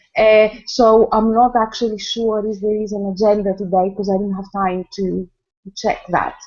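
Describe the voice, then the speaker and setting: A woman with a Greek accent, a fairly high pitch, and a moderate pace. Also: fairly even intonation. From Greece. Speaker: choreographer and academic. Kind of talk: casual video call chat. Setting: video call. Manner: halting.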